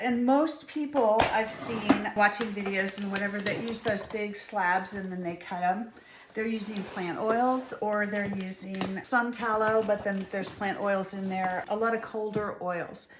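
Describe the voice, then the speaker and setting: Amid noticeable background noise and audible room echo, a woman speaks at a fairly high pitch. Her moderate pace leaves hardly any pauses. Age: 60s. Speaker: soap maker. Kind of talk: tutorial. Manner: casual, conversational.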